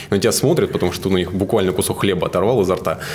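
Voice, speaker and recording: A man talks very fast at a fairly low pitch. Noticeable background noise is present. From Siberia, Novosibirsk region (Suzun). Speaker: marketing agency director. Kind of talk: interview.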